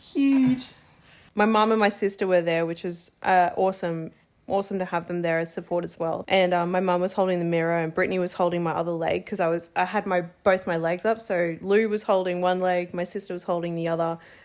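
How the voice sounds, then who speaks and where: A woman with an Australian accent talks at a fairly quick pace and a fairly low pitch. The recording is very clean, with a silent background. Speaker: new mother vlogger. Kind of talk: casual chat. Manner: animated.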